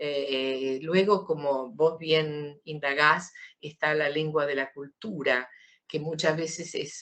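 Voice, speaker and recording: Fairly slow delivery in a very deep, low female voice. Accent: Argentine. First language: Italian (speaking Spanish). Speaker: writer. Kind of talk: interview.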